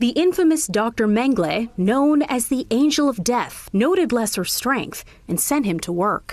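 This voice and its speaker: Amid noticeable background noise, a woman speaks at a high pitch with very wide pitch swings and hardly any pauses. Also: moderate pace. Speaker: news reporter. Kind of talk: TV news report narration.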